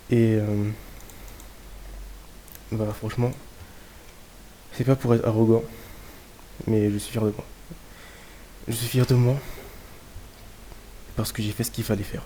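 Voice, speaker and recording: At a moderate pace, the speaker keeps a monotone, flat intonation, leaving long, frequent pauses. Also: man, medium pitch for a man. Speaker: trader. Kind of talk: casual talk to camera.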